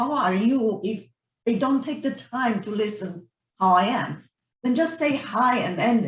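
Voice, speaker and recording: Lively intonation and a fairly high pitch come from a woman with a Romanian accent speaking at a moderate pace. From Romania, Transylvania. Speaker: professor and university council chair. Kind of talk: meeting discussion. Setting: video call.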